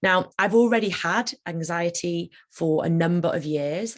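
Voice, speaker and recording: A woman with a British accent speaks at a fairly low pitch on a very clean recording with a silent background. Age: 30s. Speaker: managing partner of a law firm. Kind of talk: talk on personal experience of ADHD. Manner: fast; fidgety, moving around.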